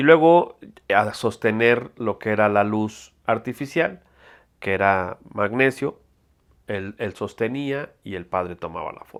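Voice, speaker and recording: A man with a Mexico City accent and a fairly low pitch speaks very slowly, with lively intonation and big swings in loudness, on a very clean recording with a silent background. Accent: Mexican Spanish (Mexico City). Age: 60s. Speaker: photographer. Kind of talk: interview testimony. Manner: halting, many fillers.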